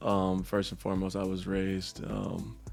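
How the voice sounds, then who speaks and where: Music plays behind a man with a very deep, low pitch who speaks at a fairly slow pace amid audible room echo. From Michigan. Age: 40s. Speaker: online content creator. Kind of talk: casual interview.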